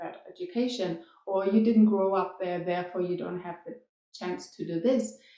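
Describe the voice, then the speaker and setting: Her voice has a dark, mellow tone and a medium pitch. The woman speaks with a non-native accent at a fairly quick pace. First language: non-English (European language). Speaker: dance teacher and performer. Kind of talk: casual vlog storytelling.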